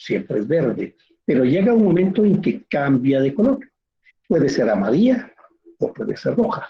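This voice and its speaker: At a moderate pace, a man with a fairly high voice and vocal fry swings his pitch very widely, pausing long and often. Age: 60s. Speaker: teacher. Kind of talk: lecture.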